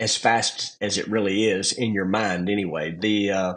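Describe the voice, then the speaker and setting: Speaking at a fairly slow pace, a man with a Southern US accent has a fairly low pitch. His intonation stays fairly even. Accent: Southern US country. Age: 50s. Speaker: drag racer. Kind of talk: podcast interview. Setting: in a car.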